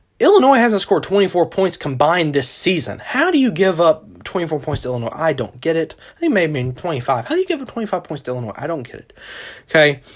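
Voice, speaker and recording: Over noticeable background noise, a man talks at a very fast pace with a high pitch, an animated tone and very wide pitch swings. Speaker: college football podcaster. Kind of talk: solo sports podcast commentary. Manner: more lively, animated this week.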